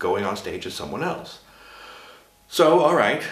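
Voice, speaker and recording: The speaker has an American accent. Noticeable background noise and audible room echo are present. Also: man. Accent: American accent, adopted. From Sweden. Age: 50s. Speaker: drag performer and vlogger. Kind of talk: casual vlog monologue. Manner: halting, with fillers.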